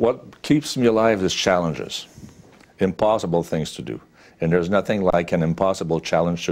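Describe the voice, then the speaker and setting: At a moderate pace, a man with a Quebec accent speaks in a very deep, low pitch with ordinary pitch variation. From Quebec, Sherbrooke. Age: 60s. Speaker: businessman. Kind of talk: interview. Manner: frequent fillers and hesitations.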